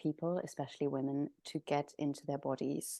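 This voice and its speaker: A woman with a German accent speaks in a dark, mellow tone, the sound dry and close with no echo and the background quiet. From Germany. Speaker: somatic practitioner. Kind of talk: interview.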